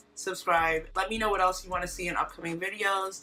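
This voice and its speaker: A woman speaks at a medium pitch and a fairly quick pace. Music plays in the background. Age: 20s. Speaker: vlogger. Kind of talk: casual vlog talk. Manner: chatty, fast.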